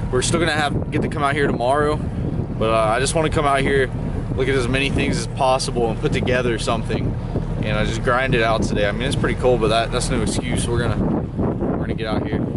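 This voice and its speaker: Over loud background noise, a man speaks at a very fast pace, the sound dry with no echo. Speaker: fishing vlogger. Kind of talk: casual vlog chat. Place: boat. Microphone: phone near.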